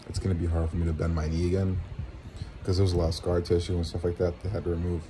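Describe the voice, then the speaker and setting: Against light background noise, a man speaks at a very deep, low pitch with fairly even intonation. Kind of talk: casual vlog chat. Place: home room. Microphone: phone near.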